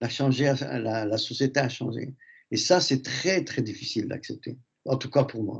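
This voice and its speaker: Over a quiet background, a man talks at a fairly slow pace with vocal fry. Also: medium pitch for a man, ordinary pitch variation. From Algeria. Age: 70s. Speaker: radio host. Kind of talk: radio discussion.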